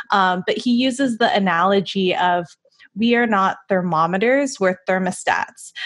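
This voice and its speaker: At a fairly slow pace and medium pitch, a woman speaks with very even loudness and ordinary pitch variation over a quiet background. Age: 20s. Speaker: podcast co-host. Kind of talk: casual interview. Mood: warm, enthusiastic. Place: home room. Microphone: studio mic.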